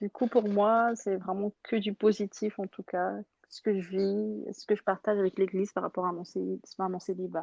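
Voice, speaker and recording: In a dry, close sound with no echo and a quiet background, a woman speaks at a moderate pace. Her pitch is medium and her intonation fairly even. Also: big swings in loudness. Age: 20s. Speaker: churchgoer guest. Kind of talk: testimony. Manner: halting.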